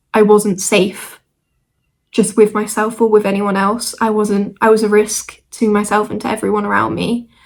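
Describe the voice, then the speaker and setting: In a British accent, the speaker moves at a moderate pace with a monotone, flat intonation. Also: woman. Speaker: vlogger. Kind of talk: casual chat. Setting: at home, squeaky chair. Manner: hesitant, with fillers.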